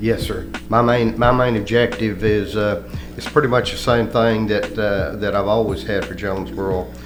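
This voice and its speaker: A man's fairly low voice with a Southern US accent, a moderate pace and ordinary pitch variation, over background music and audible room echo. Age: 70s. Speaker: retired police chief and political candidate. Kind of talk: radio interview. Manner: halting.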